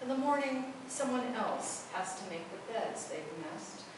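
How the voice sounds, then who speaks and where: Ordinary pitch variation amid noticeable background noise and strong room echo. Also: woman. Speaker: poet. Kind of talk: poetry reading, performed poem. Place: hall.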